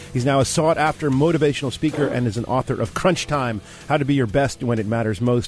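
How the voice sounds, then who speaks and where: A man at a fairly quick pace, medium pitch and lively intonation. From New Jersey. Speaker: radio host. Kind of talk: interview. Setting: studio.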